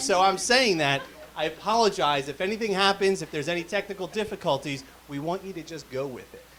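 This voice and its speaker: A man speaks in a raised, projected voice with a high pitch, ordinary pitch variation and a moderate pace, over noticeable background noise. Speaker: telethon host. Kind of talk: live telethon hosting. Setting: live stream studio. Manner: loud.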